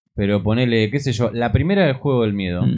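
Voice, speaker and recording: Lively in intonation, a man with a medium pitch talks at a very fast pace. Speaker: podcast co-host. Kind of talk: casual chat.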